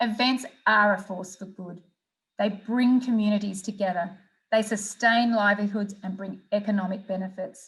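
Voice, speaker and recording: With an Australian accent, a woman speaks somewhat breathily at medium pitch, at a moderate pace and with fairly even intonation. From Australia, Melbourne. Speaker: sports event executive. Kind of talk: conference presentation; interview answers. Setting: virtual conference. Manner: formal.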